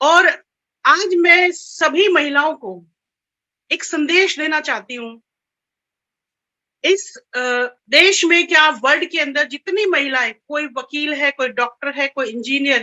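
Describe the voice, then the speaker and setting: High in pitch, a woman speaks with lively intonation. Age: 50s. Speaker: direct selling distributor. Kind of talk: testimony.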